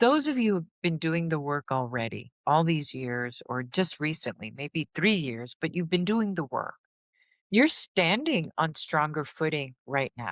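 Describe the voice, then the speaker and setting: Using lively intonation, a woman with a very deep, low voice speaks at a fairly slow pace in a dry, close sound with no echo. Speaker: healing and trauma recovery content creator. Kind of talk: motivational talk to viewers.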